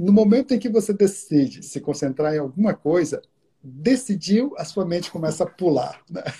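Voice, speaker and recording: With a dark, mellow tone and lively intonation, a man speaks at a high pitch and a moderate pace. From Brazil, Minas Gerais. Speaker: meditation teacher. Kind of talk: live-stream interview. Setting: video live stream.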